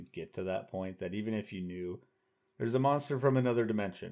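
A man with an American accent uses an ordinary speaking voice at a fairly quick pace with lively intonation, in a very clean recording with a silent background. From Oklahoma. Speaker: podcast co-host. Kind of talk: casual chat.

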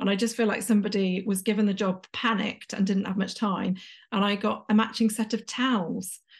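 A woman's somewhat breathy, medium-pitched voice with an English accent, fairly quick and monotone, flat in intonation, over a quiet background. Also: very even loudness. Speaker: executive coach. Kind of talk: interview conversation.

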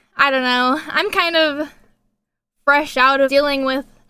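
A woman's high-pitched, raised, projected voice with a bright, sharp tone and ordinary pitch variation comes at a fairly slow pace in a very clean recording with a silent background. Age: 20s. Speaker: singer-songwriter. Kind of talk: interview conversation.

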